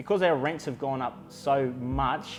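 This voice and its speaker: A man is speaking. Music plays in the background. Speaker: auctioneer. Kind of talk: corporate market-update talk to camera. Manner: measured, confident, conversational.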